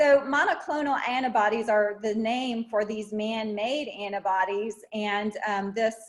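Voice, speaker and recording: A woman's ordinary speaking voice, fairly high in pitch, fairly slow, with ordinary pitch variation. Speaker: health literacy trainer. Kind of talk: webinar lecture.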